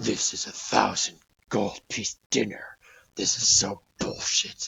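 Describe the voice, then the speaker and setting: Using a put-on character voice, a man growls and rumbles at a fairly low pitch and a fairly slow pace. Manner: grumbling, muttering.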